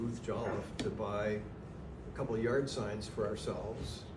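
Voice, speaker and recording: A man at a fairly quick pace and medium pitch with ordinary pitch variation, plus audible room echo and noticeable background noise. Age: 70s. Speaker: library trustee. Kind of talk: casual chat. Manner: halting.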